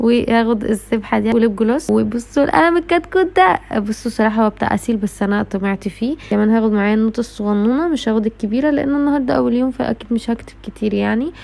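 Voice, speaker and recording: A woman talks at a very fast pace with hardly any pauses, her fairly high voice full of lively intonation. Noticeable background noise sits behind her. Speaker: vlogger, university student. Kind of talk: vlog.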